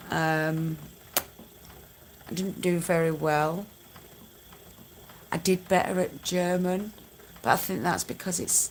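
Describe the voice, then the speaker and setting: Pausing long and often, a woman talks at a very slow pace with a fairly low pitch and fairly even intonation. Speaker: spinning crafter livestreamer. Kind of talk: live stream chat reading comments. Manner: casual, chatty.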